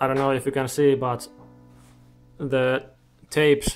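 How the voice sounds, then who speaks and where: With music in the background, a man talks in a monotone, flat intonation. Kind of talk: casual build vlog. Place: home room. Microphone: phone near.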